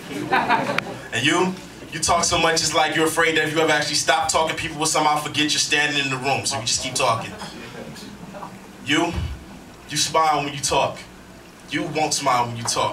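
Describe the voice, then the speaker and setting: A man talks at a fairly quick pace in a fairly high pitch with fairly even intonation, leaving long, frequent pauses amid noticeable background noise. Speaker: slam poet. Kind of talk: slam poetry performance. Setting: live audience, poetry slam venue.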